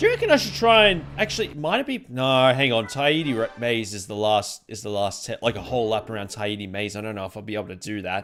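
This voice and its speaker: Words come at a very fast pace. The speaker has an Australian accent. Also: man. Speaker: video game streamer. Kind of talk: live gameplay commentary. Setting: live stream. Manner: casual, halting with self-corrections.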